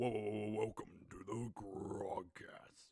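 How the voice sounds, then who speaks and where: Putting on a raspy character voice, a man talks at a fairly slow pace with a monotone, flat intonation. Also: fairly low pitch for a man. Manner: exaggerated, dramatic welcome.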